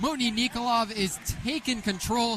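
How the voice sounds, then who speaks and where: With a bright, sharp tone, a man projects a raised voice. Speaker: play-by-play sports commentator. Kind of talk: radio sports play-by-play.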